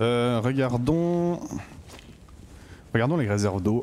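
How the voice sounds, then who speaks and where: Lively in intonation, a man with a Swiss accent talks at a fairly slow pace. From Switzerland. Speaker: gaming YouTuber. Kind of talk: let's play commentary. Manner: casual, hesitant with fillers.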